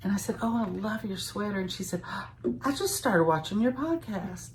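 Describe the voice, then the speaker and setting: A woman's fairly quick speech with lively intonation, against noticeable background noise. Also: medium pitch for a woman. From eastern Kentucky, Louisa. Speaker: knitting podcast co-host. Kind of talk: casual chat.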